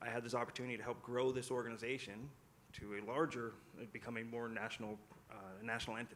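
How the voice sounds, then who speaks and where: Speaking very fast, a man with a Californian accent keeps a monotone, flat intonation. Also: medium pitch for a man. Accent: General American (Californian). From US West Coast (San Francisco Bay Area). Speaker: youth sports business founder, panelist. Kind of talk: panel discussion.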